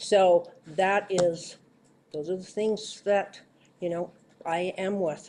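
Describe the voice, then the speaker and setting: At a very slow pace and with long, frequent pauses, a woman with an American accent speaks at medium pitch in a dark, mellow tone with monotone, flat intonation. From Utah. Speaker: council seat applicant. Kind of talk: public meeting interview. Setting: council meeting in county auditorium.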